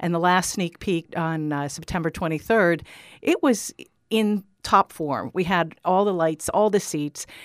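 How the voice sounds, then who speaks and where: Speaking fairly slowly, a woman uses an unremarkable speaking voice, fairly low in pitch with ordinary pitch variation, in a very clean recording with a silent background and a dry, close sound with no echo. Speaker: theater co-founder and actor. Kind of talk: radio interview.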